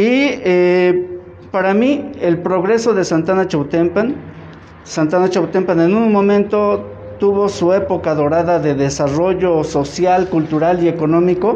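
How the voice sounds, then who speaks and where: At a fairly slow pace and very even loudness, the speaker shows ordinary pitch variation, with audible room echo and noticeable background noise. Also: man, high pitch for a man. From Mexico, Tlaxcala (Santa Ana Chiautempan). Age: 50s. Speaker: painter. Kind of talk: gallery tour talk. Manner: halting.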